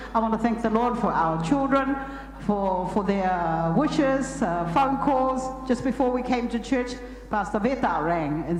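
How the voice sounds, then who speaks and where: Lively in intonation, a woman speaks at a fairly slow pace amid noticeable background noise and audible room echo. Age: 70s. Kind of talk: testimony. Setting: church.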